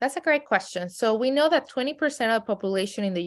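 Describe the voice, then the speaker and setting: The recording is very clean, with a silent background. A woman speaks with lively intonation in a strong Mexican accent. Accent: heavy Mexican Spanish. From Mexico City, then raised in San Diego. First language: Spanish. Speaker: streaming company executive. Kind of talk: podcast interview.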